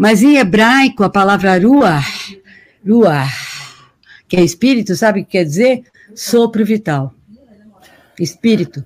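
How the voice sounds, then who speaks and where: A woman with medium pitch and a somewhat breathy voice speaks fairly slowly, with long, frequent pauses, lively intonation and big swings in loudness. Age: 70s. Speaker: professor and moderator. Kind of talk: casual intellectual conversation.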